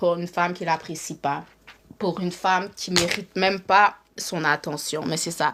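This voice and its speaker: A woman is speaking. Her pace is moderate. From Montreal, Quebec. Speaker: live streamer, relationship commentator. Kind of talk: casual live stream monologue. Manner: animated, repetitive.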